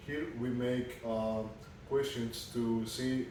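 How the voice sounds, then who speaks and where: A man with a strong non-native accent speaks at a medium pitch. The room echoes audibly, and background noise is noticeable. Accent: thick foreign. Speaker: student presenter. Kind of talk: class presentation. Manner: halting.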